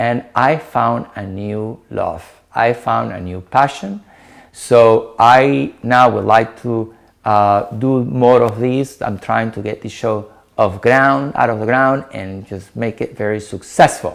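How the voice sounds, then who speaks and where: A man with a Peruvian accent talks very slowly at a medium pitch. His loudness swings widely, while his pitch variation stays ordinary. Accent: Peruvian Spanish accent, noticeable. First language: Spanish. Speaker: dietitian. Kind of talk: talk to an online meetup.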